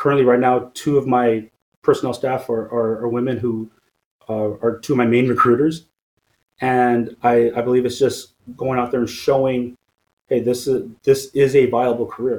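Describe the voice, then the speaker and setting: A man with a Californian accent speaks at medium pitch and a moderate pace. His intonation is monotone and flat, broken by long, frequent pauses. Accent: Californian American. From Stockton, Northern California. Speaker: police captain. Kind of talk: interview.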